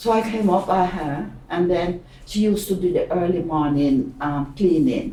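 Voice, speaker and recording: A woman with a fairly low voice speaks with lively intonation and hardly any pauses. Noticeable background noise is present. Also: fairly slow pace. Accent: Jamaican. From Jamaica. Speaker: pensioner. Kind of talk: oral history interview.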